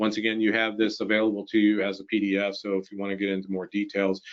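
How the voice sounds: A man talks at a fast pace in a fairly low pitch. His intonation stays monotone and flat.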